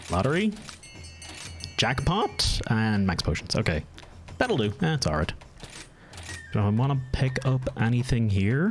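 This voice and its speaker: Over music in the background, a man with a slight Irish accent speaks at medium pitch and a fairly slow pace, with very wide pitch swings, very even loudness and long, frequent pauses. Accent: mild Irish. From Ireland. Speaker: gaming streamer. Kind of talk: live gameplay stream chat.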